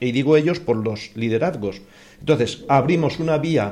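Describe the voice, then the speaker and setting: The delivery is an ordinary speaking voice at a fairly quick pace with ordinary pitch variation. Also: man. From Spain, rural Cuenca (Castilla-La Mancha). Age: 60s. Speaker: neighbourhood association spokesman. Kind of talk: radio panel discussion.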